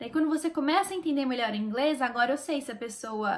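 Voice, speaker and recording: The voice belongs to a woman. She shows ordinary pitch variation. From Brazil. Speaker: YouTuber sharing language-learning tips. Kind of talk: casual vlog talk to camera. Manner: animated.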